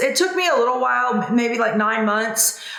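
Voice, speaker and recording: Against noticeable background noise and audible room echo, a woman with a high pitch speaks in an animated tone. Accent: Southern US. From US South. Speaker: business coach. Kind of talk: tutorial. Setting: home video recording. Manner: fast; casual, animated.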